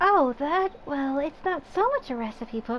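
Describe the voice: Over clear background noise, a female-sounding voice uses a soft-spoken, high-pitched put-on character voice. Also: moderate pace.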